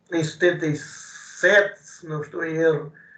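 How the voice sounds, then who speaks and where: A man talks at a very slow pace. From Portugal, Coimbra area. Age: 70s. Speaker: retired rally association president. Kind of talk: interview. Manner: halting, many repetitions and fillers.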